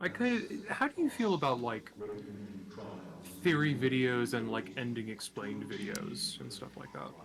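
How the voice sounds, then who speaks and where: A quiet man talks at a moderate pace amid noticeable background noise. His loudness swings widely. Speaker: guest streamer. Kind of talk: casual chat. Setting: live stream. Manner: varies between loud and quiet. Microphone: quiet on the capture.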